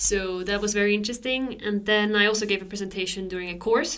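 A woman speaks at a fairly quick pace in a flat monotone, with noticeable background noise and audible room echo. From Switzerland. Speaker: astronomer. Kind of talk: casual chat.

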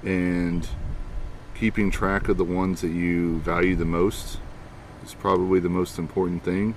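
Low-pitched with vocal fry, a man speaks at a fairly slow pace with little pitch movement.

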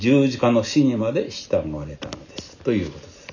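A man talks while clear background noise plays behind him. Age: 70s. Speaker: pastor. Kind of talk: sermon.

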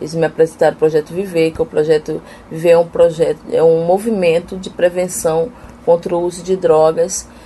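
At a moderate pace, a woman with an ordinary speaking voice talks at a fairly low pitch. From Amapá, northern Brazil. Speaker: missionary and seminary student. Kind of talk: interview testimony.

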